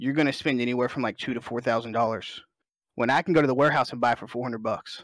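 A man with an American accent talks at a very fast pace with fairly even intonation, on a very clean recording with a silent background. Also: medium pitch for a man. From Alabama, US South. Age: 20s. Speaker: competitive gamer and streamer. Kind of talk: casual chat.

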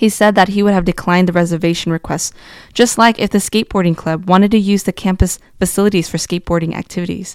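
Speech comes at a very fast pace in a Californian accent with fairly even intonation. The sound is dry and close with no echo, on a very clean recording with a silent background. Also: woman, medium pitch for a woman. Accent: Californian American. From US, California (Fresno region). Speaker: community organizer. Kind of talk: personal storytelling, read aloud.

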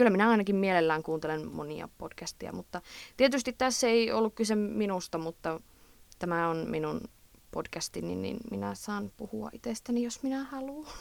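Fairly low-pitched woman's voice with an Eastern Finnish accent. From Eastern Finland. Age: 20s. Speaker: podcast host, student. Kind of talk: casual advice monologue. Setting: recording in a closet at night.

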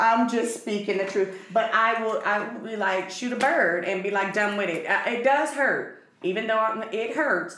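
A woman speaks at medium pitch with ordinary pitch variation and hardly any pauses. Noticeable background noise runs underneath. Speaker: podcast co-host. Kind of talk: casual chat.

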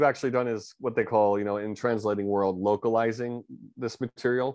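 A man speaks with a New York accent against a quiet background. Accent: New York American English. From US, New York area. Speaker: founder of an extraterrestrial contact organization. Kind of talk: interview conversation. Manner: halting, many fillers.

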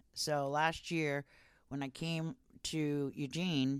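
A woman's very deep, low voice with an American accent on a very clean recording with a silent background. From California, Santa Barbara and Ojai. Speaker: canvasser in recovery from addiction. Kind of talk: casual interview, personal testimony.

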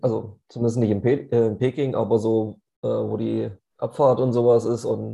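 Speaking at a fairly slow pace, a man uses a medium pitch and a dark, mellow tone. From Leipzig, Saxony, Germany. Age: 30s. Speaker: podcast co-host and amateur American football player. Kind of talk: casual chat. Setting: studio, face to face.

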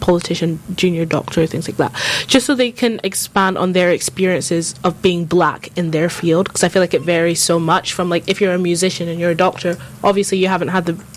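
Over noticeable background noise, a woman talks at a fairly quick pace in a fairly low pitch with fairly even intonation. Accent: London. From North London, England. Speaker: student guest. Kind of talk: casual chat. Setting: studio.

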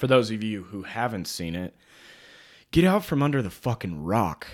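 Speaking in a plain, everyday voice, a man talks at a moderate pace with lively intonation on a very clean recording with a silent background. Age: 20s. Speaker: podcast co-host. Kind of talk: casual chat.

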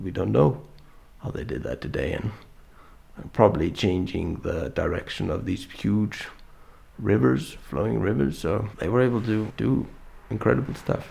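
In an Icelandic accent, a man speaks at a moderate pace with a fairly low pitch and vocal fry. His pitch swings very widely. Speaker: artist. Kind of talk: interview. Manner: halting.

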